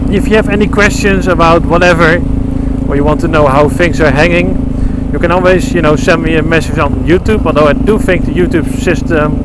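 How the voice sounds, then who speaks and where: Loud background noise surrounds a fairly quick delivery with ordinary pitch variation. The sound is dry, with no echo. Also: man. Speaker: motorcycle vlogger. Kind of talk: casual vlog chat. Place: motorbike. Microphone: helmet.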